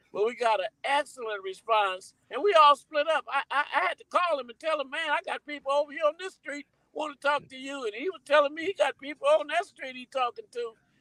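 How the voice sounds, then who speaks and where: A man projects a raised voice with an extremely high pitch and a bright, sharp tone, his intonation lively and his loudness swinging widely. He talks at a fairly quick pace with hardly any pauses, and the sound is dry and close with no echo. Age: 60s. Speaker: campaign volunteer. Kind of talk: casual chat. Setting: studio.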